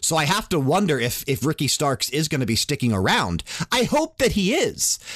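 Against a quiet background, a man with a fairly high pitch and vocal fry swings very widely in pitch. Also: moderate pace, very even loudness. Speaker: podcast host. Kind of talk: casual chat. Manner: talkative.

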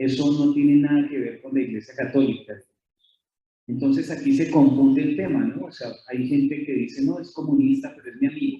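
A man in a Colombian accent speaks with big swings in loudness. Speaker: author and lecturer. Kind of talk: lecture. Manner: halting.

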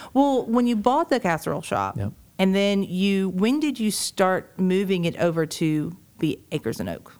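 On a very clean recording with a silent background, a woman with a Southern US accent speaks at a moderate pace, her pitch swinging very widely. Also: medium pitch for a woman. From Georgia, US South. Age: 30s. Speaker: podcast host. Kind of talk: interview.

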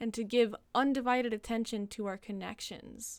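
Over a very clean recording with a silent background, a woman speaks at a fairly high pitch and a moderate pace. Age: 20s. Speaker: podcast host. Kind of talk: solo monologue podcast. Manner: animated.

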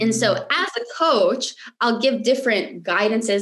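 A woman's fairly slow, lively-intoned speech over noticeable background noise. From US, Michigan. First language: Romanian. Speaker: mindset coach. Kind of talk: interview conversation.

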